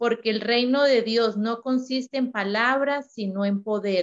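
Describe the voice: Fairly slow delivery with fairly even intonation. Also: woman, fairly high pitch for a woman.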